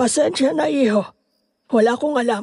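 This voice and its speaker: Using a raspy, put-on character voice, a woman speaks at a moderate pace and a fairly high pitch. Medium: audio drama. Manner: stammering, nervous.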